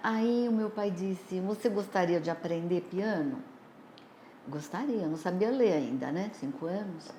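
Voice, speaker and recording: A woman with a dark, mellow tone and lively intonation, plus audible room echo. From Brazil, São Paulo. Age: 60s. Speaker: nursing professor. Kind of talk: life story interview.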